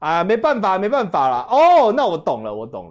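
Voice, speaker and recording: A high-pitched man's voice with very wide pitch swings, over a quiet background. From Taiwan. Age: young. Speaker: political commentator. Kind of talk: casual chat. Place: studio. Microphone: lapel.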